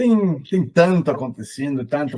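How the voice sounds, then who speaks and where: A man with an Argentine accent speaks at a fairly slow pace. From Argentina. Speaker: logistics consultant. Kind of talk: interview. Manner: hesitant, many fillers.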